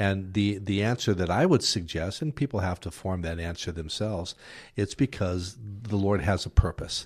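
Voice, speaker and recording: A man speaks at a moderate pace in a somewhat breathy voice with fairly low pitch and ordinary pitch variation. The recording is very clean, with a silent background. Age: 60s. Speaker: minister. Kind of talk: casual chat. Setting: studio.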